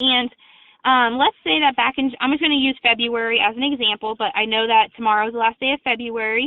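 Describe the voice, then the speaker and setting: Her pitch high and ordinary in variation, a woman talks at a fairly quick pace. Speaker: insurance company sales representative. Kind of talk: sales webinar presentation. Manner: fast.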